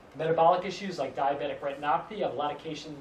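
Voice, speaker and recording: Amid noticeable background noise and audible room echo, a man speaks with fairly even intonation at a fairly high pitch. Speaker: acupuncturist giving a health talk. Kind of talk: lecture. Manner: fast.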